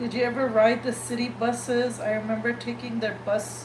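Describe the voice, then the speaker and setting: There is noticeable background noise and audible room echo. A woman speaks at a moderate pace. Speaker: podcast host. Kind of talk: casual chat.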